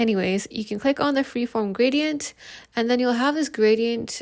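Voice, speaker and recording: A woman with a plain, everyday voice, lively intonation and a moderate pace, in a very clean recording with a silent background. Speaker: graphic design tutor. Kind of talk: tutorial.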